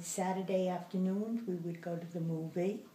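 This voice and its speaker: In an American accent, a woman speaks fairly slowly at a fairly low pitch, her tone dark, mellow and somewhat breathy, with audible room echo. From New Jersey and the Bronx, New York. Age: 80s+. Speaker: grandmother interviewee. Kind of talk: interview.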